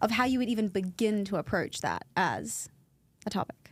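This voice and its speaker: Speaking at a moderate pace with lively intonation, a woman with an Australian accent has a fairly high pitch. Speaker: podcast co-host, pregnancy support worker. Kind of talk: casual chat. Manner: talkative.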